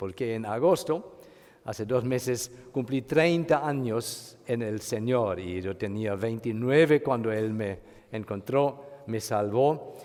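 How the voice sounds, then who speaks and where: Very slowly, a man speaks in a German accent. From Germany. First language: German (speaking Spanish). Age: 50s. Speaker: pastor. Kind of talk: sermon. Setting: church retreat. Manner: halting.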